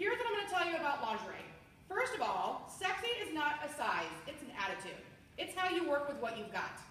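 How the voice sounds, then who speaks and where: A woman speaks at a fairly quick pace with an American accent, her high voice swinging very widely in pitch. Audible room echo and noticeable background noise fill the recording. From US, Washington DC area. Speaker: sales trainer. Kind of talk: training demo of a sales party. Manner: fast; animated.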